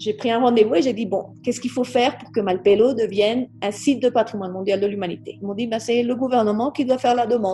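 A woman talks very fast in a fairly high voice, with fairly even intonation and hardly any pauses. Background noise is noticeable. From Colombia. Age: 50s. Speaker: naturalist and politician. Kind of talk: interview. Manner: halting.

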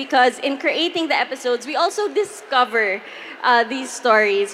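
Amid noticeable background noise, a woman with a high pitch speaks in a raised, projected voice at a fairly slow pace, with very wide pitch swings. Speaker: podcast host. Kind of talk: live panel storytelling. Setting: stage with audience.

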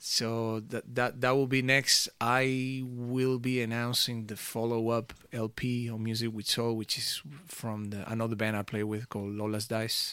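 A man in a Spanish accent speaks with a bright, sharp tone and a monotone, flat intonation, with hardly any pauses. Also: medium pitch for a man, fairly slow pace, very clean recording, silent background. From Venezuela. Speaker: music producer and DJ. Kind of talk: interview chat.

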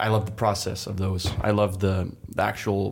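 A man with a Danish accent and fairly low pitch. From Denmark, west coast. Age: 20s. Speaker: professional stand-up paddler. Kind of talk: podcast interview.

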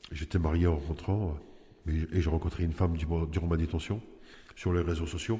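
Here a man speaks at a very deep, low pitch. His tone is dark and mellow. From Nice, southern France. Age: 40s. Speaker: prisoner. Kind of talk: personal testimony. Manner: halting, with hesitations.

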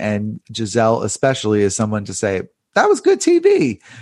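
At a fairly quick pace, a man talks in an ordinary speaking voice at a medium pitch. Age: 30s. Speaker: journalist and author. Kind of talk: casual chat.

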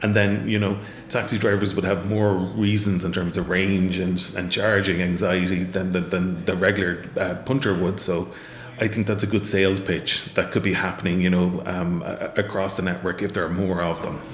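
In an Irish accent, a man talks at a moderate pace with a very deep, low pitch and monotone, flat intonation. The room echo is audible, and there is noticeable background noise. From Ireland, Waterford. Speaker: professor. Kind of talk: interview.

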